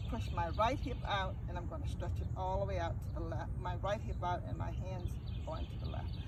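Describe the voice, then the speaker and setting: A man's very deep, low voice at a moderate pace with lively intonation, noticeable background noise and audible room echo. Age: 70s. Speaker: fitness instructor. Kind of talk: tutorial. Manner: halting.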